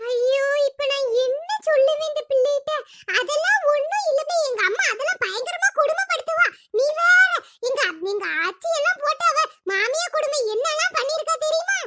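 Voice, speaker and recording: Cartoonish character voice from a woman, extremely high in pitch, fairly slow, with very wide pitch swings. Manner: exasperated, scheming.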